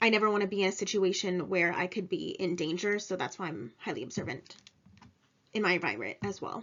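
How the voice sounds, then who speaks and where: A woman with vocal fry at a very fast pace. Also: medium pitch for a woman, ordinary pitch variation. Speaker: graduate student and insurance claims adjuster. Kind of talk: recorded class presentation. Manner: sometimes sounds stern; hesitant with fillers.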